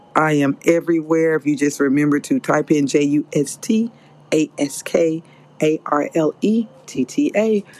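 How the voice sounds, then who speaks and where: A woman's very deep, low voice at a moderate pace, lively in intonation and very even in loudness, over noticeable background noise. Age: 50s. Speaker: podcast host. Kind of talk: solo podcast monologue. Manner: animated.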